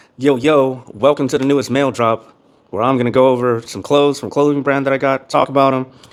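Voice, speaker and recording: A man talks at a medium pitch. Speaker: fitness vlogger reviewing clothes. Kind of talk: casual vlog review. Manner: monotone.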